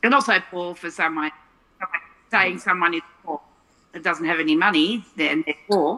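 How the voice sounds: A woman with an Australian accent speaks at a moderate pace, leaving long, frequent pauses. Her loudness swings widely. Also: fairly low pitch for a woman, ordinary pitch variation. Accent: Australian, non-rhotic.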